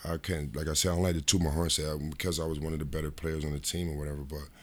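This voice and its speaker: A man's very deep, low pitch carries fairly even intonation. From upstate New York (Rochester). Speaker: former professional basketball player. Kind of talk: casual interview. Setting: in person.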